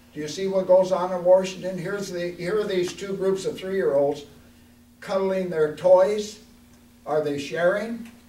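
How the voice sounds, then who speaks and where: Noticeable background noise and audible room echo fill the recording. A man with an American accent and a high pitch talks at a moderate pace with fairly even intonation. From Oregon. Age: 80s+. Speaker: congressional candidate, war veteran. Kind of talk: candidate forum speech.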